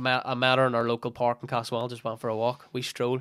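A man talks with a Northern Irish accent. His pitch is medium. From Northern Ireland. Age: 20s. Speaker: fitness coach and former footballer. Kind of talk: casual chat.

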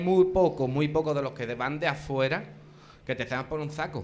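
Fairly high-pitched male voice at a moderate pace with fairly even intonation, amid noticeable background noise. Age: 30s. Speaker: costalero. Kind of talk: live panel discussion. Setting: live in a bar with audience.

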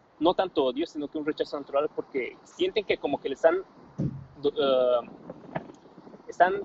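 This man's voice is fairly high, his pitch varies in an ordinary way, and he keeps a moderate pace. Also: long, frequent pauses, big swings in loudness. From Bolivia (La Paz). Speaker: young Bolivian who studied abroad. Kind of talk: casual chat.

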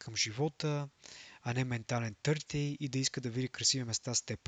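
The pace of this man's speech is moderate. He keeps a fairly even intonation. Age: young. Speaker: podcast host. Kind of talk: solo monologue podcast. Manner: halting, frequent filler sounds.

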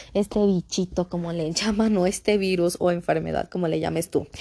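A woman speaks in a normal speaking voice at a moderate pace. Her pitch varies in an ordinary way, and the background is quiet. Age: 30s. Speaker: podcast host. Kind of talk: casual solo podcast monologue.

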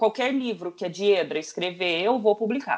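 A woman with an ordinary speaking voice talks at medium pitch and a moderate pace, her intonation lively. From São Paulo countryside, Franca. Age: 30s. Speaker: publisher. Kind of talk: casual chat.

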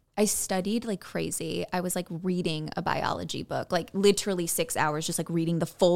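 With an American accent and an unremarkable speaking voice, a woman talks at a fairly low pitch with ordinary pitch variation. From Illinois, Chicago suburbs. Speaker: actor and blogger. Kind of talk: casual chat.

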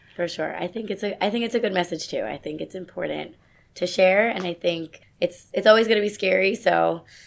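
An American-accented woman talks at a fairly quick pace with some vocal fry. Her medium pitch shows ordinary variation. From New York City suburbs. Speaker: medical graduate and author. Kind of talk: casual interview.

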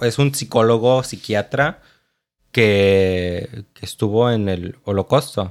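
The pace of this man's talk is very slow. Pitch moves in an ordinary way. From Mexico, Chiapas (Tapachula). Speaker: podcast co-host. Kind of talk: casual chat. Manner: animated.

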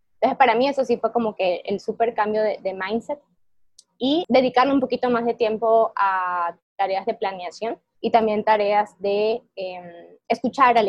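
With a normal speaking voice, a woman talks at a fairly slow pace in a fairly high pitch. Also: ordinary pitch variation. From Ecuador. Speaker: software engineer and tech lead. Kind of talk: interview.

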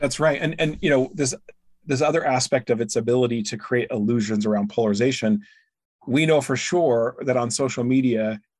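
A man with an American accent speaks in an ordinary speaking voice at a medium pitch and moderate pace, with ordinary pitch variation, in a very clean recording with a silent background. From rural US. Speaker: author and think tank founder. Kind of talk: interview conversation.

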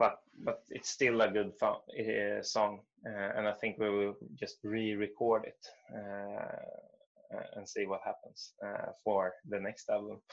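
A man speaks with a Swedish accent. His pace is very slow. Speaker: musician. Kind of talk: interview. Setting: video call.

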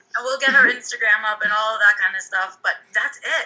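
A woman with an American accent talks at a fairly quick pace in a fairly high pitch over noticeable background noise. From United States. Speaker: podcast co-host and teacher. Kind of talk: casual chat.

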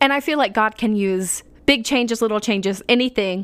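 On a very clean recording with a silent background, a woman uses an ordinary speaking voice at a moderate pace with ordinary pitch variation. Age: 20s. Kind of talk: casual devotional monologue. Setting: home living room desk.

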